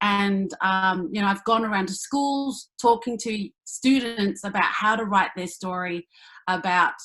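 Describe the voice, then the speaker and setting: The speaker has an Australian accent and a bright, sharp tone, talking at a fairly slow pace with ordinary pitch variation. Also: woman. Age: 30s. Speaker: actor and comedian. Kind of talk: panel discussion.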